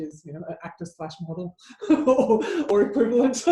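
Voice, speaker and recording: The speaker is a woman with lively intonation. She talks at a moderate pace. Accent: Australian. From Australia. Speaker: advertising commentator and speaker. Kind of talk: casual chat.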